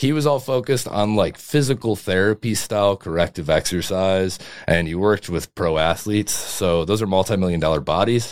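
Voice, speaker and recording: A man with a plain, everyday voice and a fairly low pitch talks at a fairly quick pace with hardly any pauses and ordinary pitch variation, on a very clean recording with a silent background. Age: 20s. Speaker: strength and conditioning coach. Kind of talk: casual chat.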